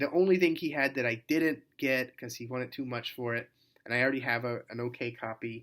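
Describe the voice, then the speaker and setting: At a moderate pace, a man mumbles at a medium pitch with fairly even intonation on a very clean recording with a silent background. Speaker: record collector. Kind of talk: casual talk to camera. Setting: hotel room. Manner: mumbling; hesitant, lots of fillers.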